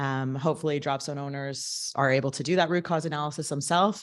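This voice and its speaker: A woman speaks with a very deep, low pitch. The recording is very clean, with a silent background. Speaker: safety committee presenter. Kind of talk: meeting report presentation. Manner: loud.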